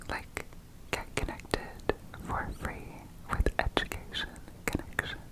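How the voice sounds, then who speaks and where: Over noticeable background noise, a woman whispers in a relaxed tone at a fairly slow pace. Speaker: ASMR creator. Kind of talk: whispered ASMR ramble for sleep. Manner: whispered, soft, relaxed, chatty.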